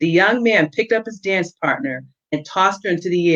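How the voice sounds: Quiet surroundings behind a natural reading voice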